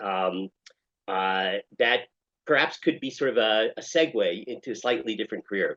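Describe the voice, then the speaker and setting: Using a normal speaking voice, a man with an American accent talks at a fairly quick pace with lively intonation. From United States. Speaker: rabbi and therapist. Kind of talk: interview.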